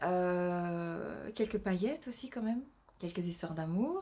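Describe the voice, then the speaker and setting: Pitch variation here is ordinary. The voice belongs to a woman. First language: not French (speaking French). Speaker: novelist and illustrator. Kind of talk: casual vlog announcement. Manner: halting, many hesitations and repetitions.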